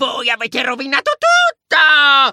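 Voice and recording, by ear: A man puts on a character voice at an extremely high pitch, with a bright, sharp tone and very wide pitch swings. He goes at a fairly slow pace, and the sound is dry and close with no echo.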